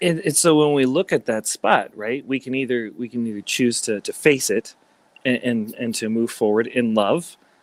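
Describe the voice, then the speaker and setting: A man speaks in a plain, everyday voice at medium pitch and a moderate pace, with ordinary pitch variation and a dry, close sound with no echo. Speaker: life coach, former entertainer. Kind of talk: casual interview chat.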